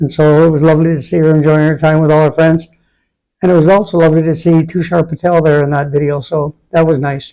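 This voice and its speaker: Speaking at a fairly quick pace, a man uses a fairly high pitch and a dark, mellow tone with monotone, flat intonation. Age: 60s. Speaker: vlogger. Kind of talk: casual monologue. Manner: rambling, halting.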